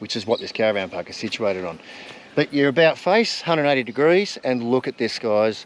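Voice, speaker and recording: Lively in intonation, a man talks fairly quickly. Background noise is noticeable throughout. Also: medium pitch for a man. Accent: Australian. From rural Australia. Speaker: travel vlogger. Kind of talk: casual chat. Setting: outdoors.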